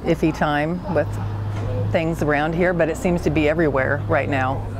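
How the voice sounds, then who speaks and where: A woman's very deep, low voice at a moderate pace, with a dry sound with no echo and noticeable background noise. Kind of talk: interview answer. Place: garden.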